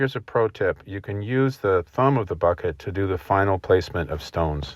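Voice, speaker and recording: In an American accent, the speaker talks at a fairly quick pace with a somewhat breathy voice. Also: man, fairly low pitch for a man. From Rhode Island, USA. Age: 60s. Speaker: stone wall builder, excavator operator. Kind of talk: instructional voice-over narration.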